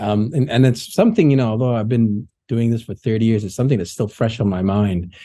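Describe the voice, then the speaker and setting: A man's very fast speech with hardly any pauses, medium pitch, ordinary pitch variation and a dark, mellow tone, over a quiet background. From Indonesia, raised partly in Laos and Thailand. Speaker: development bank official. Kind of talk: interview.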